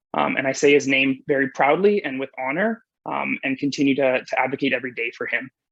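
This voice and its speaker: Very fast speech with hardly any pauses, in a western Canadian accent. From British Columbia, Canada. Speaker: nurse, conference keynote speaker. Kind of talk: conference presentation.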